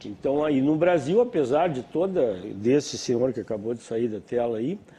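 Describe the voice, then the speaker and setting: Here a man speaks at a moderate pace. His medium-pitched voice carries lively intonation. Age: 60s. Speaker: panel guest. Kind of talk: TV panel discussion. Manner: halting.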